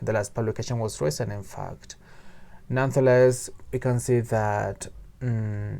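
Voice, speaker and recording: With a Spanish accent, a man speaks fairly slowly at a fairly low pitch and with fairly even intonation. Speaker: book reviewer. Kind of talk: book review monologue. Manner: halting, with fillers and repetitions.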